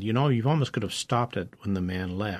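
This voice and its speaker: A man speaks in an unremarkable speaking voice. His pitch is medium, with ordinary variation. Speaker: radio host. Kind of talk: radio interview. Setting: radio studio.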